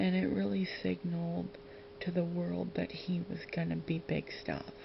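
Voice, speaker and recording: Against noticeable background noise, a soft-spoken voice talks at a fairly slow pace. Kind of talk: ASMR.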